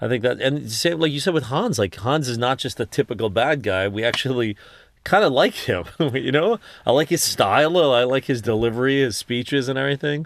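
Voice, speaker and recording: A man with an American accent and an unremarkable speaking voice talks at a fairly quick pace, with medium pitch and lively intonation. The sound is dry and close, with no echo. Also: quiet background. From New York. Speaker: film directing instructor. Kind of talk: casual chat.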